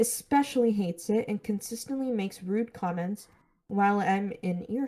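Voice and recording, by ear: Reading aloud in a natural voice, with ordinary pitch variation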